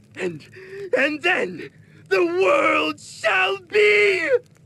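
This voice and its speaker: Using a put-on character voice, a man projects loudly at a high pitch. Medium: video game. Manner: gloating, cackling.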